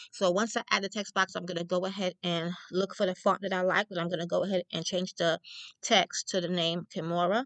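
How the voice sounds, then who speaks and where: A woman with a New York accent talks at a fairly quick pace. Her intonation is flat and monotone. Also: medium pitch for a woman, dry, close sound with no echo. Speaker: crafter and small business owner. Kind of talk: tutorial. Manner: fast; casual, chatty.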